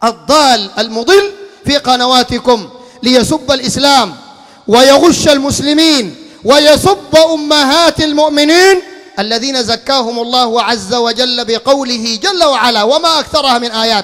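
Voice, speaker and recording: In a stern tone, a man with an extremely high voice talks at a fairly slow pace with ordinary pitch variation. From Sudan. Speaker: Islamic preacher. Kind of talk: sermon. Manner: stern, forceful. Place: home room. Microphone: handheld.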